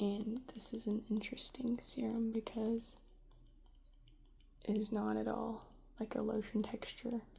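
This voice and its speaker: The speaker is soft-spoken and leaves long, frequent pauses. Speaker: ASMR creator. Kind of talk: ASMR soft-spoken rambling.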